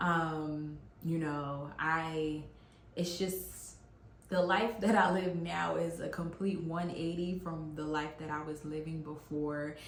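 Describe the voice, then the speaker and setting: Amid noticeable background noise and audible room echo, a woman with a very deep, low pitch speaks at a very slow pace in a monotone, flat intonation. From US, West African family. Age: 30s. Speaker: YouTuber sharing faith testimony. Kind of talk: testimony. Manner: casual, hesitant with fillers.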